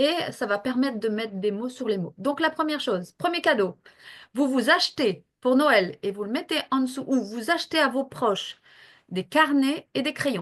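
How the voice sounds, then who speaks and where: A woman speaks at a fairly slow pace in a high voice with lively intonation over a quiet background. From northern France near Belgium. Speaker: health professional and coach. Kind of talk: interview. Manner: hesitant, many fillers.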